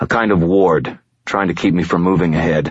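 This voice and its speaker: A man puts on a growling character voice, very deep and low in pitch, moving at a fairly quick pace. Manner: growling through clenched teeth.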